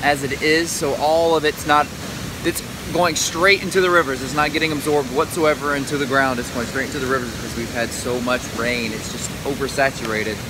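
A man speaks at a fairly quick pace with ordinary pitch variation, the sound dry with no echo but marked by noticeable background noise. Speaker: vlogger. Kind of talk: casual vlog chat. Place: waterside. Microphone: phone near.

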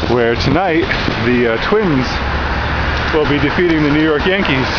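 Loud background noise runs under the voice. The pitch varies in an ordinary way. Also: man. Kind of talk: casual vlog commentary. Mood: wry, joking. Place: bicycle. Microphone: phone near.

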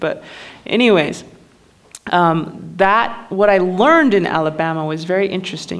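Medium pitch and ordinary pitch variation from a female speaker, at a moderate pace. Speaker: spoken word poet and musician; spoken word poet. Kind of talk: personal story told to a live audience. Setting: live theater performance. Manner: casual, conversational. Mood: reflective, candid. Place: stage. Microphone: studio mic.

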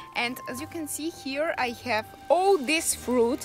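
Speaking at a fairly slow pace, a woman sounds dry with no echo while faint music plays in the background. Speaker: travel vlogger. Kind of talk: casual vlog chat. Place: garden. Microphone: phone near.

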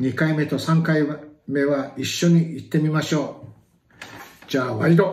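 A man speaks at a fairly high pitch with fairly even intonation. His delivery has long, frequent pauses, and the room echo is audible. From Miyako Island, Okinawa. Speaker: pronunciation leader for language practice. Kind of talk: vocabulary pronunciation drill. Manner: slow, clear. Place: home room. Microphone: phone near.

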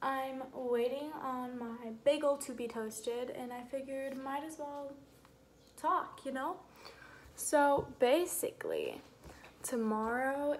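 The speech moves at a very slow pace with big swings in loudness. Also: woman. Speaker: vlogger. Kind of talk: casual vlog chat. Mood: relaxed, chatty. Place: kitchen. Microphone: phone near.

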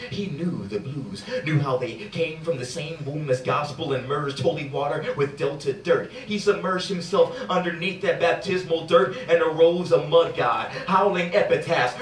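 A man talks at a moderate pace with lively intonation and hardly any pauses, amid audible room echo and light background noise. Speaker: spoken word poet. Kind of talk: spoken word poetry performance. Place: stage. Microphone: camera far.

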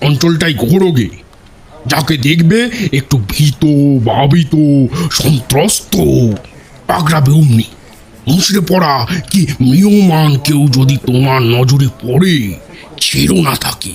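A man's put-on character voice, fairly high in pitch, very slow, with lively intonation. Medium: audio drama. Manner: brisk, commanding.

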